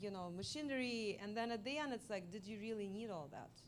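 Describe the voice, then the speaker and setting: With a Russian accent, a woman speaks at a fairly high pitch and with lively intonation. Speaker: multimedia artist. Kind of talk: artist talk Q&A. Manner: halting.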